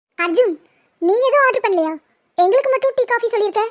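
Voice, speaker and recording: A woman performs a squeaky, cartoonish character voice at an extremely high pitch and a very fast pace. Her intonation is lively while her loudness stays very even. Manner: sarcastic, breezy.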